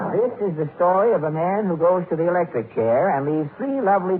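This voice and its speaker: Over noticeable background noise, a man with a high pitch talks at a moderate pace using lively intonation. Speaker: radio comedian and show host. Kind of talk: old-time radio comedy monologue and sketch.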